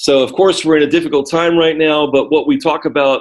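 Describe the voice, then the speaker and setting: A plain, everyday voice from a man with an American accent, a fairly high pitch and ordinary pitch variation. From United States. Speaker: ESL teacher. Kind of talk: lesson. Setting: video call.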